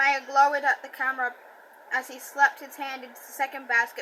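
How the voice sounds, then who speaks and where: At a fairly quick pace, a woman uses a raised, projected voice with a high pitch and fairly even intonation. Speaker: audiobook reader. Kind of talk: reading aloud.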